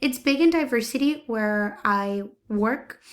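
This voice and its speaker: A woman with a Spanish accent on a very clean recording with a silent background. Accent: Spanish-accented English, some words hard. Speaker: teacher's aide. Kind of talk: recorded self-introduction. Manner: hesitant, many fillers.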